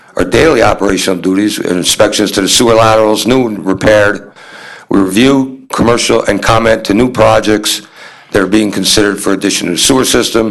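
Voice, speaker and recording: In a plain, everyday voice, a man with a fairly low pitch speaks at a fairly quick pace with fairly even intonation. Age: 60s. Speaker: municipal sewer department supervisor. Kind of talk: presentation at town board meeting. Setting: town board meeting room.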